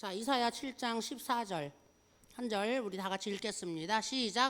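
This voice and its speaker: A woman speaks at a fairly slow pace. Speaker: pastor at senior day care. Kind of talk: sermon. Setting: day care worship service. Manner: slightly slurred pronunciation.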